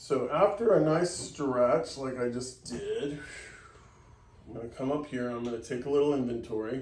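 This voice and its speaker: A man's medium-pitched voice with an American accent, ordinary pitch variation and a moderate pace, with big swings in loudness, audible room echo and noticeable background noise. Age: 60s. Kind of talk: tutorial.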